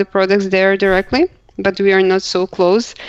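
A woman talks with a Croatian accent. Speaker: accessibility professional, blind co-host. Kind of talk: casual chat.

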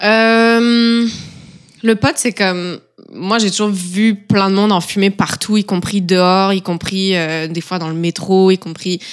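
Over noticeable background noise, a woman with a medium pitch talks at a very slow pace with fairly even intonation. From eastern France near Switzerland. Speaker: roommate. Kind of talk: casual chat.

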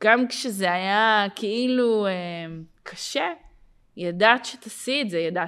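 A woman speaks very slowly at a fairly high pitch. Her pitch varies in an ordinary way, and the recording is very clean with a silent background. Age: 30s. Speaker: podcast host and life coach. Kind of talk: casual interview.

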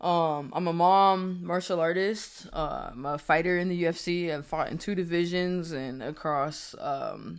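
A woman with an American accent speaks in a normal speaking voice, fairly low in pitch with ordinary pitch variation. The recording is very clean, with a silent background. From Springfield, Massachusetts. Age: 30s. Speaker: podcast host. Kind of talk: casual chat.

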